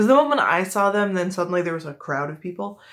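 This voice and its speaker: A woman speaks with a Midwestern US accent at a medium pitch. The recording is very clean with a silent background. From US Midwest. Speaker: video host showing mug collection.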